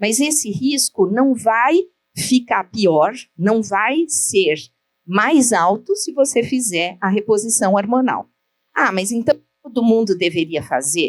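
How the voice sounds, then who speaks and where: A woman speaks very slowly in a fairly high voice, her intonation lively. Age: 60s. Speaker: gynecologist. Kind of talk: lecture.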